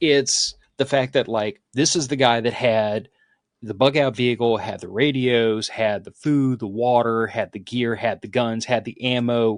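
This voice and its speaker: A man with an unremarkable speaking voice talks at a fairly slow pace against a quiet background, his pitch medium and his intonation fairly even. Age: 40s. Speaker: podcast host. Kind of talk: casual chat.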